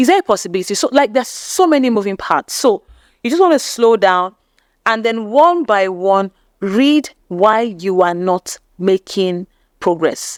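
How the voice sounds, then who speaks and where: A woman with a Nigerian accent speaks at a moderate pace with a fairly high pitch, lively intonation and very even loudness. The recording is very clean, with a silent background and a dry, close sound with no echo. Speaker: YouTube growth coach. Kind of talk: channel review tutorial.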